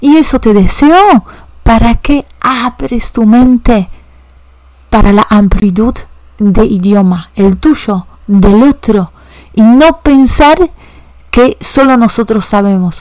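A woman's fairly high voice, very slow, with lively intonation, very even loudness and long, frequent pauses. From Poland, Warsaw. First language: Polish (speaking Spanish). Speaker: language teacher. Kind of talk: educational podcast monologue.

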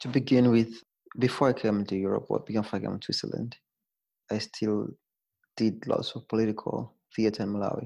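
A man's dark, mellow voice, fairly quick yet broken by long, frequent pauses, in a flat monotone. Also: medium pitch for a man, very clean recording, silent background. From Zambia. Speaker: theater artist. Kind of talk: interview conversation. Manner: halting, repeats words.

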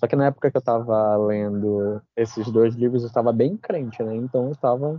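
In a normal speaking voice, a man at a medium pitch talks at a moderate pace with fairly even intonation and hardly any pauses. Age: 20s. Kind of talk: casual chat.

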